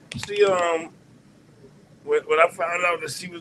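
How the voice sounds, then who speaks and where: With an American accent, a man speaks at a high pitch and a moderate pace. There is noticeable background noise. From Washington DC. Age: 60s. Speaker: caller, musician. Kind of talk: casual chat.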